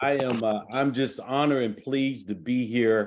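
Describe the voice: At a fairly slow pace, a man talks with fairly even intonation.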